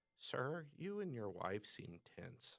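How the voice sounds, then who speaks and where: A man performs a put-on character voice at a medium pitch. His pitch makes very wide swings. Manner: calm, measured.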